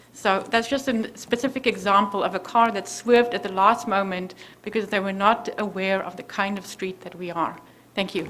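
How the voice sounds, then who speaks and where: A woman with a South African accent talks at a moderate pace and a medium pitch. Her intonation is fairly even, though her loudness swings a lot. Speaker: resident speaking at public hearing. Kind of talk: public comment at zoning hearing.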